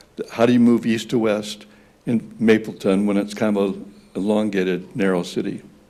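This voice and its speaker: Here a man talks at a fairly low pitch, his tone dark and mellow, at a moderate pace. His intonation stays monotone and flat, with audible room echo. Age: 80s+. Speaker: resident speaking at public comment. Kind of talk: public comment at council meeting. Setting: city council meeting.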